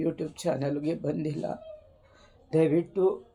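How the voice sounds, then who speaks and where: A woman's very deep, low voice has a dark, mellow tone and monotone, flat intonation. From rural Karnataka. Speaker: YouTuber. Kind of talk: personal testimony. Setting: home.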